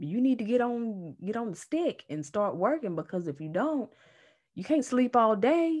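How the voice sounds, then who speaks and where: A woman's fairly slow delivery with very wide pitch swings, over a quiet background. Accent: Southern US. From North Carolina, US South. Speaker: energy healer and Reiki teacher. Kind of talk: casual chat.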